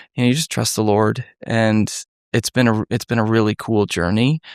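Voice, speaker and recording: In an unremarkable speaking voice, a man with an American accent talks at a moderate pace and a fairly low pitch with fairly even intonation, in a very clean recording with a silent background and a dry, close sound with no echo. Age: 30s. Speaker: former detective, nonprofit founder. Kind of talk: podcast interview. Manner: conversational, warm.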